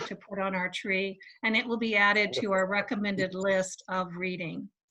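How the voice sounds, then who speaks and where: A plain, everyday voice moves at a moderate pace. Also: woman. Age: 60s. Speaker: secular society organizer. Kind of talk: event announcements. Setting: video call.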